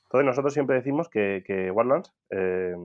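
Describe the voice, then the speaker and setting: Fairly low in pitch, a man talks with ordinary pitch variation. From Spain, Albacete. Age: 30s. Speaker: tech entrepreneur. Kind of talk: interview.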